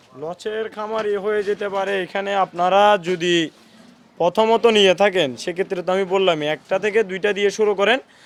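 Here a man speaks with a high pitch. His intonation stays fairly even. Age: 20s. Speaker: goat farmer and trader. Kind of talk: interview answers.

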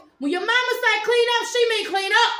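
Amid audible room echo, a woman uses a raised, projected voice at a moderate pace. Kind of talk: scolding, casual home video. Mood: stern, exasperated scolding. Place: home room. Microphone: phone near.

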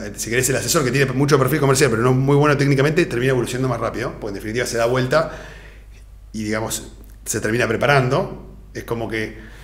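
A man speaks with a Rioplatense accent at a medium pitch. Room echo can be heard. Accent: Argentine Rioplatense Spanish. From Argentina. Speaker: financial advisor; guest. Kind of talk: interview. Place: studio.

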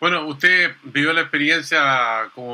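A fairly high-pitched male voice with a bright, sharp tone and fairly even intonation. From Chile. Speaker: TV interviewer. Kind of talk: political interview. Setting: studio. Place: home room. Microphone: video call.

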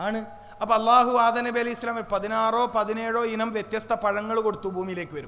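A man speaks in a high, animated voice, raised and projected, with audible room echo. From Kerala, Kannur. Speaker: Islamic preacher. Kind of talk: sermon.

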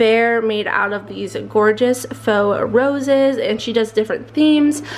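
This woman talks at a moderate pace. Her pitch variation is ordinary. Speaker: vlogger giving room tour. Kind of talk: casual vlog chat. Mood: cheerful, enthusiastic. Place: home room.

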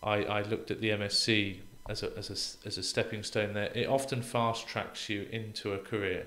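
With a British accent, a man talks in a fairly low pitch. His intonation is monotone and flat, at a moderate pace. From UK. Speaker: real estate professor. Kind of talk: interview conversation. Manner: halting, repeats words. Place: studio. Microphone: studio mic.

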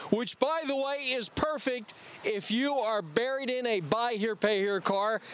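An extremely high-pitched male voice, dry with no echo, over noticeable background noise. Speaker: promotional TV host. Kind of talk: infomercial hosting and customer interviews. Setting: on location at a car dealership lot. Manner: upbeat, showman-like announcer delivery. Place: street. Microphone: handheld.

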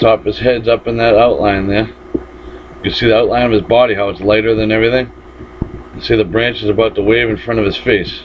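Over light background noise, the speech runs at a fairly quick pace in a flat monotone. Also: man. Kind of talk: commentary. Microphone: phone near.

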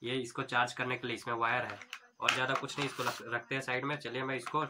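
A man's medium-pitched voice, bright and sharp in tone, with fairly even intonation

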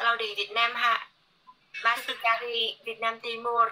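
A woman speaks with a non-native accent. Her voice sits fairly high. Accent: non-fluent Indonesian. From Korea. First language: Korean (speaking Indonesian). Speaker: livestreamer. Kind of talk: casual chat. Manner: halting. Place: home room. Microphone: phone near.

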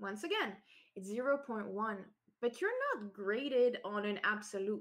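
A woman in a Quebec accent, lively in intonation, at a fairly slow pace against a quiet background. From Quebec, Canada. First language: French. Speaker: SEO consultant and conference speaker. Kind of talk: technical conference talk. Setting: remote online talk from home. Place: home room. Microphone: webcam.

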